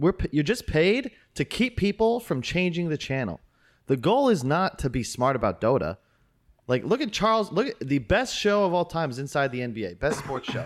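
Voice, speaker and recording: The man's pitch is fairly high, with very wide swings. His pace is moderate. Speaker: Dota talent. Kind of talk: casual chat. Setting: video call.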